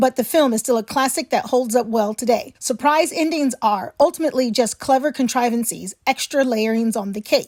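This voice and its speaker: Moderately paced, a woman speaks in a high voice with ordinary pitch variation. The sound is dry and close, with no echo. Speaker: horror host. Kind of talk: casual film review to camera.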